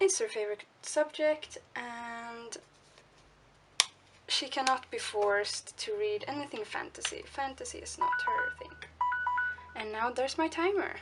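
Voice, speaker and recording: Speaking with a Swedish accent, a woman talks at a fairly slow pace with long, frequent pauses. Music plays in the background. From Sweden. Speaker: art journaling vlogger. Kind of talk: casual crafting tutorial narration. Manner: chatty, with fillers and self-corrections.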